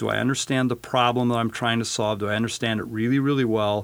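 In an American accent, a man speaks in a normal speaking voice at medium pitch with ordinary pitch variation. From western Colorado. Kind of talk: interview.

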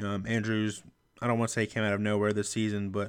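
A fairly low-voiced man at a very fast pace in a very clean recording with a silent background. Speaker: fantasy sports podcaster. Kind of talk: solo podcast episode with fantasy football advice. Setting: home recording with USB microphone. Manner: fast talker; excitable, energetic.

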